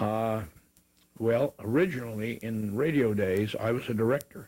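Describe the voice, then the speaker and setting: A man's medium-pitched voice with a dark, mellow tone and fairly even intonation. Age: old. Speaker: TV executive producer. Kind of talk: interview answer. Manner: hesitant, halting.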